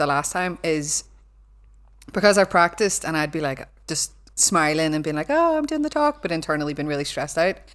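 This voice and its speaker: A woman with a Belfast accent talks at a fairly quick pace. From Northern Ireland, Belfast. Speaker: cyber security lecturer. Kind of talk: casual chat. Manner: animated.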